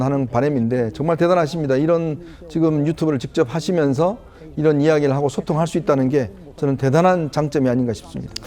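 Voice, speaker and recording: A man's fairly quick, fairly high-pitched speech in a dark, mellow tone with ordinary pitch variation. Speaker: political commentator. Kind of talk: TV panel commentary.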